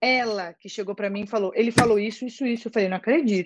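An animated tone marks this woman's fairly high-pitched speech. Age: 20s. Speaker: actress and social media creator. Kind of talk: casual chat.

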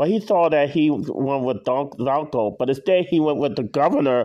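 This man's voice is fairly high in pitch, varies in pitch in an ordinary way, and moves at a fairly quick pace. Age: 40s. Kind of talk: casual monologue. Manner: halting, with frequent self-corrections.

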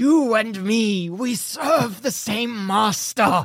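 In a put-on character voice, a female-sounding speaker growls at a very slow pace and a fairly high pitch. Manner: growling.

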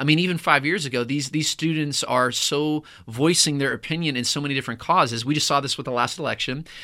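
Hardly pausing at all, a man races at a very fast pace in a fairly high voice with a bright, sharp tone. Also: fairly even intonation. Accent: American. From Pittsburgh, Pennsylvania. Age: 30s. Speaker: youth pastor. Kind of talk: interview. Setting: studio.

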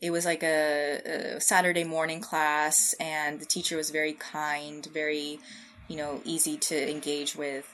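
A woman's very deep, low voice with an American accent, fairly slow and monotone, with flat intonation. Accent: American, general. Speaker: scientist. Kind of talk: casual interview.

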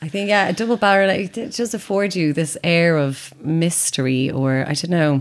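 Noticeable background noise sits behind a woman speaking in an Irish accent, fairly low in pitch, at a moderate pace. Her intonation is lively and she hardly pauses. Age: 30s. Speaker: actor and writer. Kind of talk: casual chat. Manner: animated.

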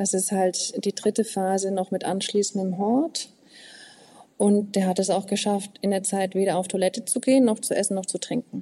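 The tone is dark and mellow, delivered at a moderate pace with fairly even intonation. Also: woman, medium pitch for a woman. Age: 40s. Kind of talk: interview conversation.

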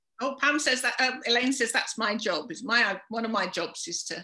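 In a southern English accent, a woman with a bright, sharp tone and a fairly high pitch speaks at a moderate pace. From London, England. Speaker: charity volunteer organiser. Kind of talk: casual interview.

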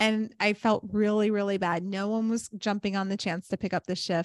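A woman speaks at a moderate pace. Her tone is animated and her pitch fairly high. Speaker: yoga teacher and podcast host. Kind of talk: casual chat.

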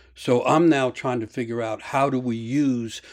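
In a plain, everyday voice, a man with an American accent speaks at a moderate pace, his pitch medium and its variation ordinary. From US. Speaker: storyteller and mythology author. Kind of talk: interview with storytelling. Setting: video call, standing up.

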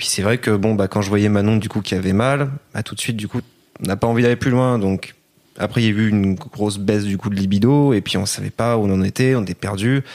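A man talks at a very fast pace. His voice is fairly low, with fairly even intonation. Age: 20s. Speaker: retail worker. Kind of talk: interview.

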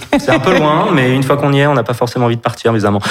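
Noticeable background noise fills the clip. Through it, a man talks at a medium pitch, his pitch variation ordinary. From Brittany, France. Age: 30s. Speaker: store manager and actor. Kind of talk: personal testimony in interview.

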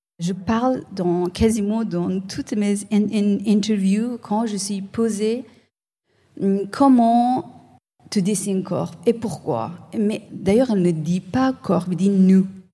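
At a very slow pace, a woman speaks with a non-native accent. Her tone is dark and mellow, and somewhat breathy. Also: medium pitch for a woman, ordinary pitch variation. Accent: foreign-accented French, switches to English. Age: 30s. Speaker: visual artist. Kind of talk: interview. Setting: live event with audience. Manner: halting, repeats words.

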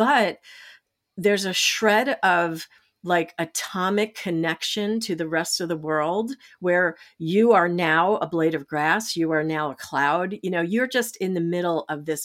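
The recording is very clean, with a silent background. A woman with a normal speaking voice talks at a fairly slow pace, fairly low in pitch and with ordinary pitch variation. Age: 60s. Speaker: change advocate and storyteller. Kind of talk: interview. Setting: podcast.

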